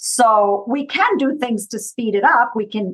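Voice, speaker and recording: A woman with a Minnesotan accent, medium-pitched, with ordinary pitch variation. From US East Coast. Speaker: consultant and trainer. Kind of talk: interview conversation.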